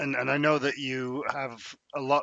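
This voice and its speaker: A man with a British accent, flat monotone intonation, and a moderate pace. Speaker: podcast host and editor. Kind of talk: interview podcast, casual presenting. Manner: chatty, humorous.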